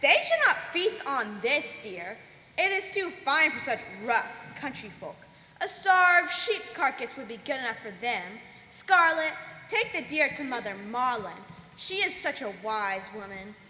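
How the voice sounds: A woman's put-on character voice, high and bright with a sharp tone, fairly slow with big pitch swings over faint background noise.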